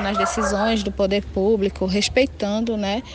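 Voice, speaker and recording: A woman speaks at a medium pitch and a fairly slow pace. Her intonation stays fairly even, with noticeable background noise behind her. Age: 20s. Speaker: activist and researcher. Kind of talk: interview. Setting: video call.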